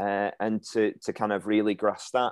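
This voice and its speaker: A man speaks with a Lancashire accent at a fairly low pitch and a moderate pace. The sound is dry and close with no echo, over a quiet background. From Lancashire, England (Ribble Valley). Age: 30s. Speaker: farming magazine editor. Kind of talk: interview.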